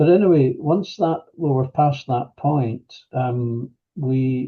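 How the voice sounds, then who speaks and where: A man with a fairly high voice speaks very slowly, his pitch moving in an ordinary way. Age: 70s. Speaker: retired manager, workshop participant. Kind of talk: personal testimony interview. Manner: halting, many fillers; reflective, unhurried.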